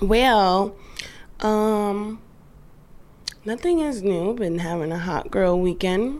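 Pausing long and often, a woman speaks at a very slow pace and medium pitch with lively intonation. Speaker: podcast co-host. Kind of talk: casual chat.

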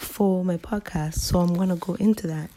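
This woman's voice is medium in pitch and somewhat breathy. Her intonation stays fairly even. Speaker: podcast host. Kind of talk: casual solo monologue. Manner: hesitant, many ums.

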